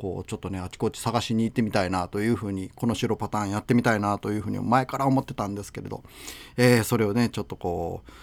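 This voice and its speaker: Very fast speech from a man with fairly low pitch and fairly even intonation, on a very clean recording with a silent background. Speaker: radio host. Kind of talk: casual radio talk. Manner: halting, many fillers.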